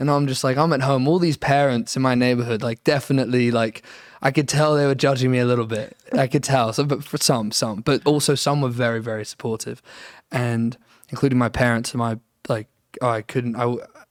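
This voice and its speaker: A man speaks at medium pitch and a fairly quick pace with fairly even intonation. The sound is dry and close with no echo, on a very clean recording with a silent background. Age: young. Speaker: singer-songwriter. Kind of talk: interview. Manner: halting.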